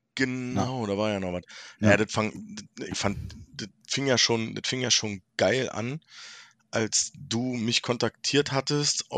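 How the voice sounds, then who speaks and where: A man speaks at a fairly slow pace with lively intonation at medium pitch. The recording is dry and close with no echo, over a quiet background. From Berlin. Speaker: podcast guest. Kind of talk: casual chat.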